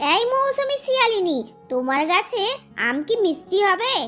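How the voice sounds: At a moderate pace, a cartoonish character voice leaps through very wide pitch swings. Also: woman, extremely high pitch for a woman.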